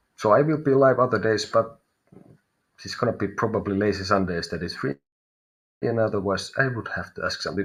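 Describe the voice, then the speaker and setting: A man with a Finnish accent and vocal fry. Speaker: tarot reader. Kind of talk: live stream reading. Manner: halting.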